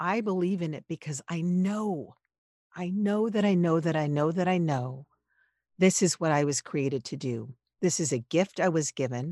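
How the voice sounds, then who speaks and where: In a quiet background, a woman with an American accent and a fairly low pitch speaks at a moderate pace with ordinary pitch variation and long, frequent pauses. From Los Angeles, US. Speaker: podcast producer and voiceover artist. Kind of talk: interview conversation.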